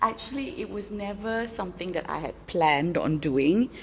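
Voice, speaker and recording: Over noticeable background noise, a woman talks at a moderate pace. Her intonation is lively. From Malaysia. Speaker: voice actor and voice coach. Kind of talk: podcast interview answer. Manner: calm, confident.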